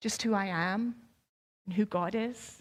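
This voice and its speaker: A woman with a Scottish accent speaks at a fairly high pitch with ordinary pitch variation. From Scotland. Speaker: pastor. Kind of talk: sermon.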